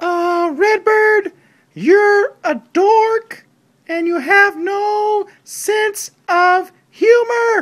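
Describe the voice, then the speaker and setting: A cartoonish character voice speaks at an extremely high pitch and a very slow pace. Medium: puppet. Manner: hesitant.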